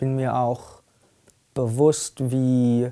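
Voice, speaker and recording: A man speaks in a dark, mellow tone with flat, monotone intonation against a quiet background. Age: young. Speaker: student and climate activist. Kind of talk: testimony. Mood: earnest, grave. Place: empty room.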